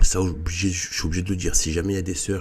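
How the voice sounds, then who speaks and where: Over noticeable background noise, a man with a very deep, low pitch talks in a fairly even intonation. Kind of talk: casual monologue. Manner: halting.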